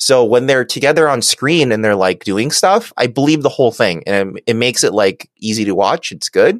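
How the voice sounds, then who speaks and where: With an unremarkable speaking voice, a man talks at a moderate pace and medium pitch, lively intonation and hardly any pauses, in a dry, close sound with no echo. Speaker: podcast co-host. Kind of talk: casual comedic chat. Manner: jokey, casual.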